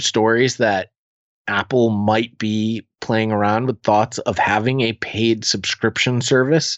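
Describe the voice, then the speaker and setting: In an ordinary speaking voice, a man talks fairly slowly at a medium pitch with fairly even intonation. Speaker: podcaster. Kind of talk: casual interview chat. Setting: video call.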